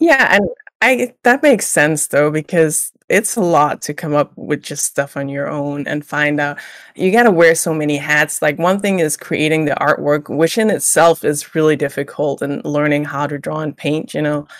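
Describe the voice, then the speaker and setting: A woman speaks at a moderate pace in a very deep, low voice with ordinary pitch variation. The recording is very clean, with a silent background. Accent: Danish. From Denmark, small village. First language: Danish. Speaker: illustrator. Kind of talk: interview.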